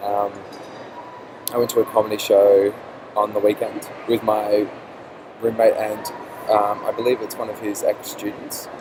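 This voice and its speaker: Amid noticeable background noise, a man with an Australian accent talks in a monotone, flat way at a moderate pace with long, frequent pauses. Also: fairly low pitch for a man. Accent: Australian accent, noticeable to others. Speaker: vlogger. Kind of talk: casual vlog. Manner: hesitant, many fillers.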